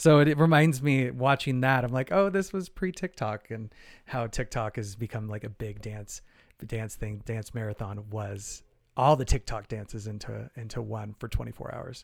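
Speaking at a moderate pace, a man with an American accent has an unremarkable speaking voice of medium pitch, with ordinary pitch variation and big swings in loudness. The recording is very clean, with a silent background. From Arizona, US (Phoenix). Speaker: choreographer and Broadway performer. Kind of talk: casual interview.

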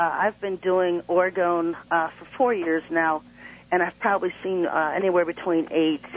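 An ordinary speaking voice from a woman with a fairly low pitch and a moderate pace. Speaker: guest author and self-styled prophet. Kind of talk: radio interview. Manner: earnest, preachy, matter-of-fact.

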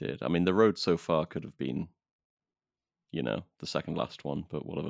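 With a dry, close sound and no echo, a man speaks at a very deep, low pitch with vocal fry, lively intonation and long, frequent pauses. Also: fairly quick pace. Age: 30s. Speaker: podcast host. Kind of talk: casual chat.

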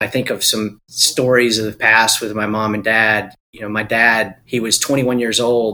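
A man with a North Carolina accent speaks at medium pitch in a bright, sharp tone. His delivery is fairly slow and monotone, with hardly any pauses. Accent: US Southern (North Carolina). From Eastern North Carolina. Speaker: investor and former business owner. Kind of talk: interview.

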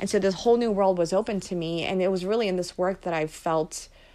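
A woman with an American accent speaks in a plain, everyday voice at a fairly low pitch. Her intonation is fairly even, and the recording is very clean with a silent background. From Philadelphia, US. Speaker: immigration policy advocate. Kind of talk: interview.

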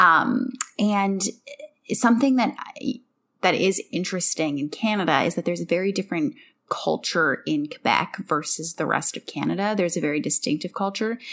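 Here a woman uses a normal speaking voice at medium pitch. Her pace is moderate and her intonation lively. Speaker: podcast host. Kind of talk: casual podcast chat, book discussion.

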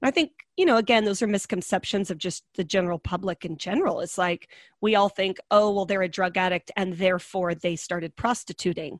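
A woman's plain, everyday voice at medium pitch with an American accent, fairly quick pace and ordinary pitch variation, dry and close with no echo, in a very clean recording against a silent background. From US West, small-town Oregon. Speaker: trafficking survivor and advocate. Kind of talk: interview, personal testimony.

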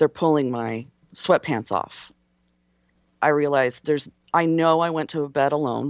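Speaking with an American accent, a woman has a very deep, low pitch and fairly even intonation. Her pace is moderate, broken by long, frequent pauses. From US West Coast. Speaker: military veteran. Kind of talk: personal testimony in interview. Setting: remote call from a hotel room. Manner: halting, many fillers.

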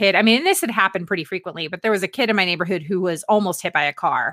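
Here is a normal speaking voice with an American accent. The pitch variation is ordinary. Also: woman. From Northern Virginia. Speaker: lifestyle blogger and podcast host. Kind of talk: casual chat.

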